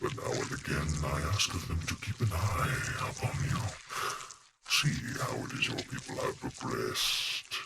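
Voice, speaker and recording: The speaker uses a put-on character voice. The pace is moderate. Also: man, medium pitch for a man. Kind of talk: in-character role play dialogue. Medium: role play. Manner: slow, formal.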